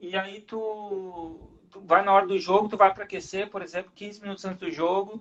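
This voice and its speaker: A man's high-pitched voice at a moderate pace. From southern Brazil, Rio Grande do Sul. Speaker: rugby referee. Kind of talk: casual interview chat.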